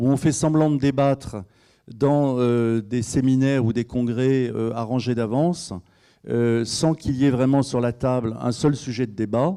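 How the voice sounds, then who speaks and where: At a fairly slow pace, a man speaks at a medium pitch with fairly even intonation and a dark, mellow tone over a quiet background. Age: 60s. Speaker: regional politician. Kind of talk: panel debate. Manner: halting, many hesitations.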